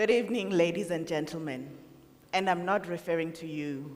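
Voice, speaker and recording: A woman speaks at a moderate pace in an ordinary speaking voice. Her pitch is fairly low, with ordinary variation. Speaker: radio host. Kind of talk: poetic live talk.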